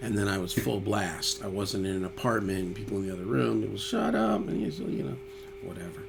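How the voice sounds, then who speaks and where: Noticeable background noise sits behind a man speaking with a New York accent. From New York (Yonkers). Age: 60s. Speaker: musician and YouTuber. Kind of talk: casual chat reading viewer comments.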